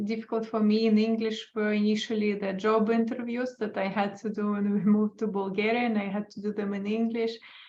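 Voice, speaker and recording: In an Estonian accent, a woman with a fairly high pitch and a dark, mellow, somewhat breathy tone speaks at a moderate pace with monotone, flat intonation. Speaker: dog trainer. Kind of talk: casual chat.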